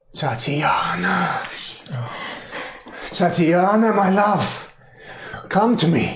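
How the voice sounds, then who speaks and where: Slight echo surrounds a put-on character voice. The pace is very slow, with long, frequent pauses. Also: man, high pitch for a man. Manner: eerie, ghostly, calling.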